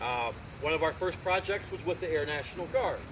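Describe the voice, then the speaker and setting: Fairly quick speech from a man with an American accent, over noticeable background noise. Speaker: community volunteer. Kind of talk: speech at a public ceremony. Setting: outdoors with audience. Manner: loud; animated.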